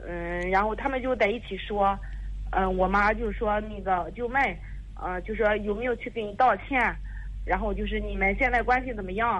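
A woman talks at a moderate pace. Audible room echo and noticeable background noise surround her. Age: 30s. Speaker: caller seeking advice. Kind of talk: phone-in advice call. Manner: halting, many fillers.

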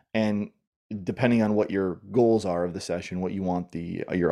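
A man with a Canadian accent speaks in a very deep, low pitch with a dark, mellow tone. His intonation is fairly even, and the background is quiet. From Southern Ontario, Canada. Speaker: professor and communication coach. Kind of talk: interview conversation.

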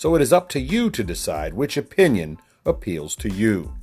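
A man speaks with music in the background. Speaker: podcast host. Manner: animated, very involved.

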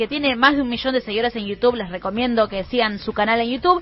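Noticeable background noise behind a woman's high voice in a Rioplatense accent, with ordinary pitch variation. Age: 30s. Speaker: radio host. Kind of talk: radio segment with interview clips.

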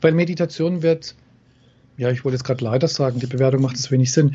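Male speech, somewhat breathy, with fairly even intonation. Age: 50s. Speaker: NLP trainer and coach. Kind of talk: interview.

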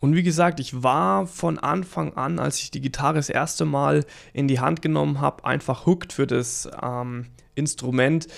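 On a very clean recording with a silent background, a man with a plain, everyday voice speaks at medium pitch and moderate pace with lively intonation. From Lower Franconia, Germany (near Würzburg). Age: 30s. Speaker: guitar coach and podcast host. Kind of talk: casual monologue.

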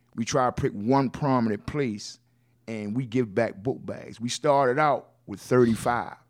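A man with a medium-pitched voice speaks at a fairly slow pace with fairly even intonation, recorded very cleanly against a silent background. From West Baltimore, Maryland, US. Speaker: nonprofit reentry advocate, ex-offender. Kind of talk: interview.

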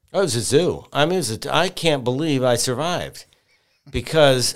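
On a very clean recording with a silent background, a man of medium pitch speaks with a Midwestern American accent at a moderate pace, his intonation lively. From Michigan. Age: 50s. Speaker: TV weather forecaster and reporter. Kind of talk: casual interview.

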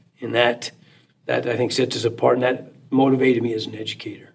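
Vocal fry runs through this man's voice. He talks at a fairly quick pace. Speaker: high school teacher. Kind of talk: interview. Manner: hesitant, repeats words.

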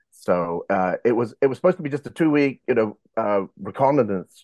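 With an English accent, a man speaks at a moderate pace and with lively intonation. The sound is dry and close, with no echo. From England, boarding school in Wales. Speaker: former bank robber telling his story. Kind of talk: interview storytelling. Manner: halting, many fillers.

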